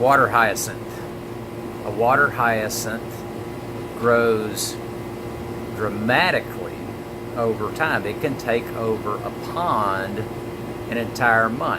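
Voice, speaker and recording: A man with an American accent speaks at a very slow pace, his pitch medium and his intonation fairly even. Long pauses come often, and there is noticeable background noise. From Mississippi, USA. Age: 50s. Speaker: motivational speaker and direct-sales marketer. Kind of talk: motivational talk to camera. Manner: earnest, conversational storytelling.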